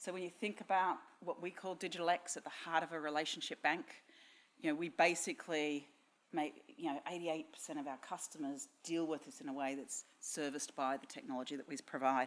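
A woman with an Australian accent, a very deep, low pitch, ordinary pitch variation and a fairly quick pace. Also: big swings in loudness. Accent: Australian, noticeable. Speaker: technology strategy director at a bank. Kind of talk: conference talk. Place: hall. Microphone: podium.

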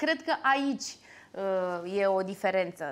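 Speaking at a fairly slow pace, a woman uses lively intonation and a bright, sharp tone. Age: 30s. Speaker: actress and singer; actress. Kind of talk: interview. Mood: lively, animated storytelling. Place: cafe. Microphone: lapel.

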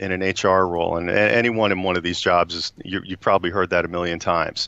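A man with an American accent speaks at a fairly quick pace in a fairly low pitch. The sound is dry with no echo, and the background is quiet. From US Northeast. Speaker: HR executive; guest. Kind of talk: interview. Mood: warm, enthusiastic. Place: office. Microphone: video call.

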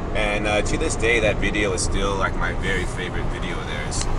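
Loud background noise surrounds a man with an American accent, though the sound itself is dry with no echo. He speaks at a fairly quick pace. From Southern California. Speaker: music fan and contest winner. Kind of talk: casual video diary. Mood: enthusiastic fan. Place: car. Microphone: phone near.

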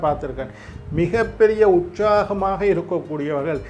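Light noise runs behind a man as he talks. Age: 50s. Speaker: astrologer. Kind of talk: horoscope talk. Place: studio.

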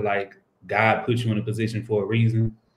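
A man with an American accent speaks at a moderate pace in a fairly low, monotone voice with flat intonation, and the room echo is audible. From Texas, Houston. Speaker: professional basketball player. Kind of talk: interview. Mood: reflective, earnest. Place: home room. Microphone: video call.

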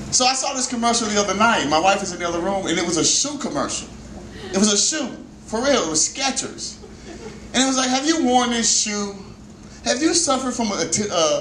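Room echo is audible around a man speaking at a fairly quick pace. Light background noise is present too. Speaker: stand-up comedian. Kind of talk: stand-up comedy routine. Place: stage.

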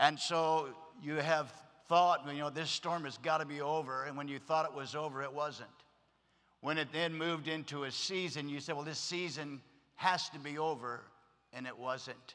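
A man talks at a moderate pace with a bright, sharp tone. His intonation is monotone and flat. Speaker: pastor. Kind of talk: sermon. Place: stage. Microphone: podium.

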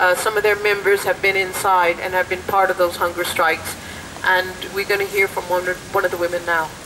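A woman talks at a fairly quick pace in a monotone, flat delivery. Noticeable background noise runs under her voice. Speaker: rally organizer. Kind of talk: rally chairing. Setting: outdoor protest. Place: street. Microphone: handheld.

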